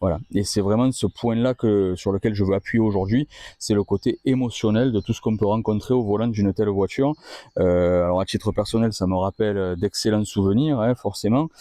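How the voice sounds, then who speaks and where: In a dark, mellow tone, a man with a fairly low pitch speaks at a moderate pace with ordinary pitch variation against a quiet background. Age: 30s. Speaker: car workshop presenter. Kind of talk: video presentation of a car. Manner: hesitant, many fillers.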